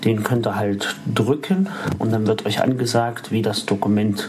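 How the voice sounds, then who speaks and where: Over noticeable background noise, a man at medium pitch talks at a fairly slow pace with ordinary pitch variation. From Saxony-Anhalt, Harz (Halberstadt). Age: 30s. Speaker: visually impaired tech reviewer. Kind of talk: tutorial.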